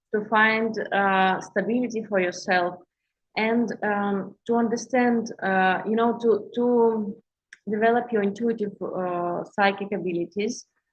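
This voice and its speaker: A woman with a Russian accent speaks at a medium pitch in a flat monotone. Her pace is fairly slow. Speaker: intuitive healer and coach. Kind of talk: livestream talk to viewers. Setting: live stream on social media. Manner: halting, many fillers and restarts.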